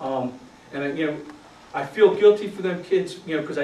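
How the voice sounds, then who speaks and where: With a Philadelphia accent, a man speaks at a very fast pace amid noticeable background noise and audible room echo. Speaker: youth football coach, retired Marine. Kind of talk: conference talk. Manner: casual, conversational with fillers.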